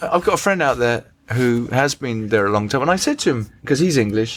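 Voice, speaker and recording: Lively intonation in a man's mid-range voice. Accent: English. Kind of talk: conversational anecdote.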